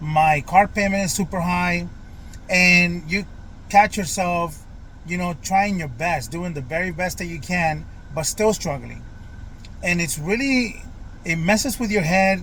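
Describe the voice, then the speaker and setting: A high-pitched man's voice with an American accent, bright and sharp in tone, fairly slow, with ordinary pitch variation, long and frequent pauses, and audible room echo. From Florida, US South. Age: 40s. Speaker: vlogger. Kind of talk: personal vlog monologue. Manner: hesitant, many fillers.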